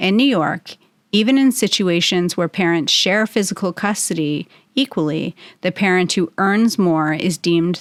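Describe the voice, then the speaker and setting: A woman speaks at a moderate pace in a normal speaking voice, her pitch medium with ordinary variation. The sound is dry and close with no echo, on a very clean recording with a silent background. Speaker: matrimonial attorney and podcast host. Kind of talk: informative legal podcast narration.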